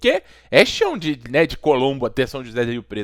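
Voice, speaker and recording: A normal speaking voice moves at a moderate pace. The sound is dry and close, with no echo. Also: man. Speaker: podcast host, sports broadcasting channel owner. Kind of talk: interviewer asking questions in a podcast.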